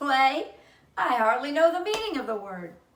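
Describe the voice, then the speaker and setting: A woman puts on a character voice at a high pitch. Her pitch swings very widely. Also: moderate pace. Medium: read story. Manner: sour, grudging.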